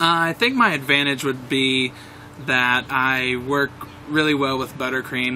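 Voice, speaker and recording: A man with a medium-pitched voice talks while noticeable background noise is heard. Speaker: aspiring pastry chef, reality show applicant. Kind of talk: audition interview. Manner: loud.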